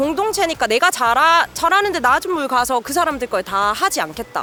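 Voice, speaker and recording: Over music in the background, a woman's raised, projected voice moves at a fairly quick pace, high in pitch and with very wide pitch swings. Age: 20s. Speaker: haenyeo diver from the city. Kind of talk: interview answer.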